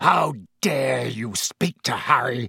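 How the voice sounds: A man puts on a character voice, slow, husky and rough-edged with vocal fry. His tone is bright and sharp, and the sound is dry and close with no echo.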